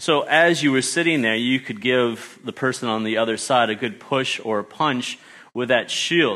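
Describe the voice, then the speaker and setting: Speaking at a moderate pace with an American accent, the voice has a bright, sharp tone and ordinary pitch variation. The recording is very clean, with a silent background. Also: man, medium pitch for a man. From Australia. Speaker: guest preacher, teacher. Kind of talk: sermon. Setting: church service with congregation. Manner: halting.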